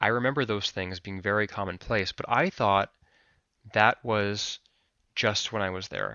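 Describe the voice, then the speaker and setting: A man with an Alaskan accent and a fairly low pitch speaks at a fairly slow pace, using fairly even intonation and long, frequent pauses. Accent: American, Alaskan. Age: 30s. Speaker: filmmaker and photographer. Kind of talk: interview testimony.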